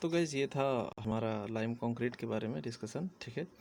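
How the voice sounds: A man's medium-pitched voice with a slightly mellow tone.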